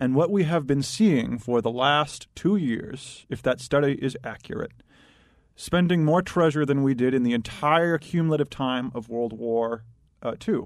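With a normal speaking voice, a man speaks at a moderate pace and a fairly high pitch against a quiet background. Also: ordinary pitch variation. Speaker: data analyst. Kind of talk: talk radio discussion.

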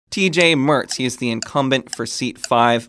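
Recorded very cleanly against a silent background, a man with an unremarkable speaking voice talks at a medium pitch with ordinary pitch variation. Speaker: podcast host and tech reporter. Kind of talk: casual chat, podcast discussion. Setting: studio. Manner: upbeat, joking.

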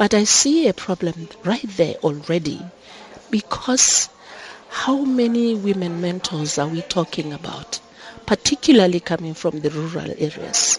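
Against noticeable background noise, a woman with a fairly low pitch speaks with lively intonation. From Lesotho. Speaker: government deputy minister. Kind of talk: panel discussion. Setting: conference venue, live broadcast. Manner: hesitant, with frequent hums.

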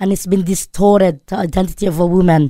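With a Filipino accent, a woman speaks at a moderate pace in a medium pitch, her tone dark and mellow and her intonation fairly even, in a very clean recording with a silent background. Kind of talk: radio interview. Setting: studio. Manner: halting, many fillers and self-corrections.

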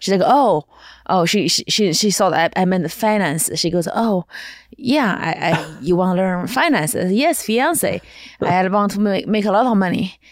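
A woman with a Chinese accent speaks at a moderate pace and medium pitch. Her intonation is lively while her loudness stays very even. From China. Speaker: stand-up comedian. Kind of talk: casual interview chat.

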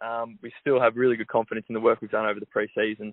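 Words fly by at a very fast pace. It is delivered with an Australian accent. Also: man. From Melbourne, Australia. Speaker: professional footballer. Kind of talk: radio interview. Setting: phone call. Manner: hesitant, many fillers.

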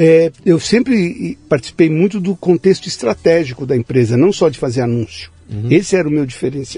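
A man with a fairly high pitch speaks at a moderate pace, leaving hardly any pauses. His voice makes very wide pitch swings. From Brazil, São Paulo city. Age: 60s. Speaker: branding consultant. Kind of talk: interview conversation.

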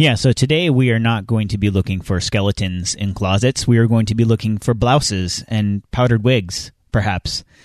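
A man has a plain, everyday voice, fairly low in pitch with ordinary pitch variation. He talks at a moderate pace with hardly any pauses against a quiet background. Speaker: podcast co-host. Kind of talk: casual chat.

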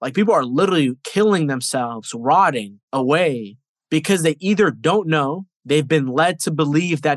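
This man has a plain, everyday voice, fairly high in pitch, with lively intonation at a moderate pace, recorded dry and close with no echo. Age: 20s. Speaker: nutrition coach and mental health advocate. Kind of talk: interview.

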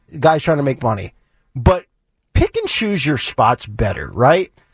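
An animated man, dry and close with no echo, against a quiet background. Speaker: radio host. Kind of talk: talk radio show. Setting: studio.

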